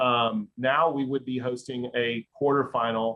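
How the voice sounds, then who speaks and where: This man has an unremarkable speaking voice at a medium pitch, his intonation fairly even. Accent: American. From Dallas, Texas. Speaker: sports marketing executive. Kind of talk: podcast interview.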